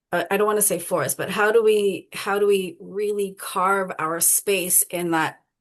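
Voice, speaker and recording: A woman with an unremarkable speaking voice and medium pitch talks at a fairly slow pace with hardly any pauses and fairly even intonation against a quiet background. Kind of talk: panel discussion.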